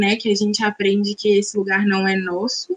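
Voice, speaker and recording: Her voice comes across as somewhat breathy. The speaker is a woman. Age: 20s. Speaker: dance teacher and pedagogue. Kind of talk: self-introduction in live panel. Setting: video call from her bedroom.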